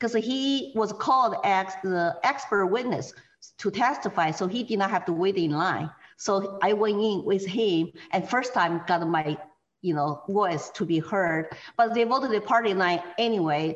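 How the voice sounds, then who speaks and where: A woman with medium pitch, lively intonation, very even loudness and a fairly slow pace. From China. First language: Chinese. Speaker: political activist. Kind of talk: interview.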